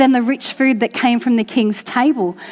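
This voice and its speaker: A woman's high pitch cuts over noticeable background noise. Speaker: church preacher giving a sermon. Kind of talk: sermon to a congregation.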